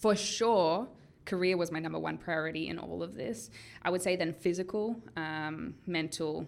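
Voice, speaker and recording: At a fairly slow pace, a woman speaks with vocal fry and ordinary pitch variation. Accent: Australian. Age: 20s. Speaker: video blogger. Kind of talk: casual vlog monologue. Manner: animated.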